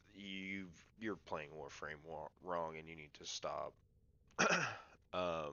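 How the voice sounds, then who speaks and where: In a relaxed tone, a man with a very deep, low pitch speaks at a very slow pace, with long, frequent pauses and fairly even intonation. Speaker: gaming YouTuber. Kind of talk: game build guide tutorial. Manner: casual, relaxed.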